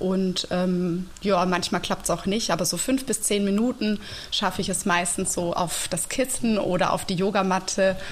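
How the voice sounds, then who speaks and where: Against noticeable background noise, a woman with a medium pitch speaks at a fairly slow pace. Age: 30s. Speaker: teacher and yoga teacher. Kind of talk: casual interview. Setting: video call. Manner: calm and clear.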